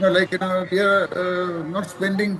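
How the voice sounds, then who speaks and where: High male voice against noticeable background noise. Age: 70s. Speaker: cardamom farmer. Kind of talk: interview answer.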